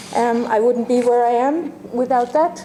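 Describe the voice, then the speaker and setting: With noticeable background noise and audible room echo, a woman with a high voice speaks in an Irish accent at a fairly slow pace, her intonation fairly even. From Ireland, Limerick. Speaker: university dean, lecturer. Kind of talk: lecture. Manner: halting, many fillers.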